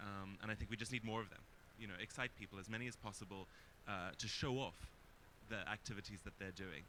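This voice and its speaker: Talking at a very fast pace, a man with a fairly low pitch and a bright, sharp tone keeps his intonation fairly even. His speech has long, frequent pauses. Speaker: panelist. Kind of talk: panel presentation.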